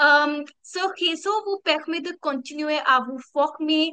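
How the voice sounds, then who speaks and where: This woman has a high pitch. Her tone is bright and sharp. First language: not French (speaking French). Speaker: community coordinator. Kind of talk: online community meeting presentation. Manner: halting, many hesitations.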